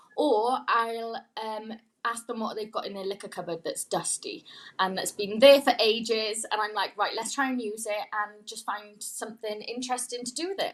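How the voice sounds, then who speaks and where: A woman's fairly high voice with a Welsh accent, ordinary pitch variation and a moderate pace. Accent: Welsh (Swansea). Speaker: pop-up bar owner. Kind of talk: casual chat.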